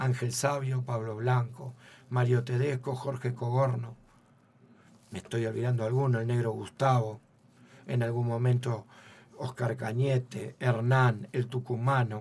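In a monotone, flat delivery at a medium pitch, a man talks at a fairly slow pace with long, frequent pauses. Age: 50s. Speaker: football coach. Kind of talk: radio interview.

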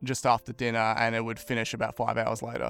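The speaker is a man with an Australian accent. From Brisbane, Australia. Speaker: podcast guest sharing mental health story. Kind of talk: casual interview, personal testimony.

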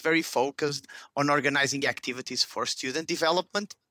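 On a very clean recording with a silent background and a dry, close sound with no echo, a man with a Portuguese accent speaks very fast in a bright, sharp tone, with fairly high pitch and fairly even intonation. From Portugal, Porto. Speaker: startup CEO. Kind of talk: interview. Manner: halting.

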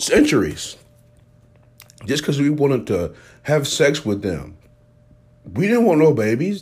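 A man's animated, fairly high voice with vocal fry, very wide pitch swings, a fairly slow pace and long, frequent pauses. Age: 30s. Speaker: podcast host. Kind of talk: casual monologue.

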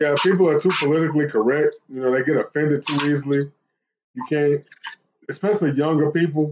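A man's very fast delivery, fairly high-pitched, with fairly even intonation and a Southern US accent. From US South, Tennessee (Smyrna, near Nashville). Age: 40s. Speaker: podcast host. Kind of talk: casual chat. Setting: phone call.

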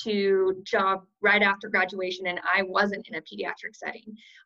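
A woman's medium-pitched voice with an American accent, bright and sharp in tone, in a flat monotone. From Washington state, US Pacific Northwest. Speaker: physical therapist. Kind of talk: casual panel discussion.

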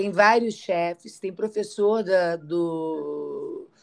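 A woman talks at a very slow pace. Her voice sits at medium pitch. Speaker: podcast co-host. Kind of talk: casual chat. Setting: traveling, on location.

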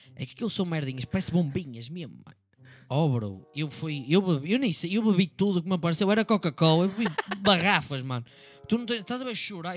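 Very fast speech in a European Portuguese accent swings very widely in pitch and heavily in loudness. The recording is very clean, and the background is silent. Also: man. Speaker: podcast co-host. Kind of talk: casual chat. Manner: animated.

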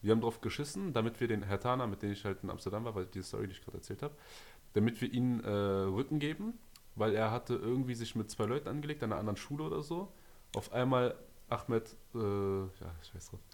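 Very fast speech from a man, medium in pitch with ordinary pitch variation. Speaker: podcast host. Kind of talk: casual chat. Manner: animated.

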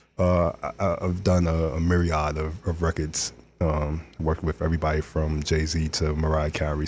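In a New York accent, a man with a very deep, low pitch speaks at a moderate pace in a monotone, flat intonation, recorded very cleanly against a silent background. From New York (Brooklyn). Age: 40s. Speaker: music producer. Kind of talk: casual interview chat. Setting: studio.

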